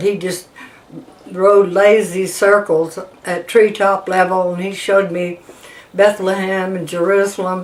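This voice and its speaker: A woman speaks at a very slow pace with a medium pitch. Noticeable background noise sits behind her. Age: 80s+. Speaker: war veteran. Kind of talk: oral history testimony. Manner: halting, with fillers.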